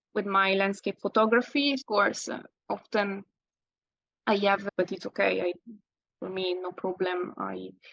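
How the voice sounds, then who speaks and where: A woman with a slight Italian accent speaks at a fairly slow pace in a medium pitch. Her intonation is fairly even, and the sound is dry and close with no echo. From Italy. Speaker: landscape photographer. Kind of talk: interview. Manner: halting.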